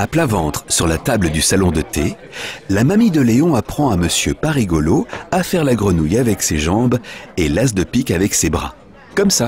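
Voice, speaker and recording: Over noticeable background noise, a man with a fairly low pitch talks at a moderate pace with very wide pitch swings and very even loudness. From France. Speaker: voice actor. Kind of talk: children's story reading.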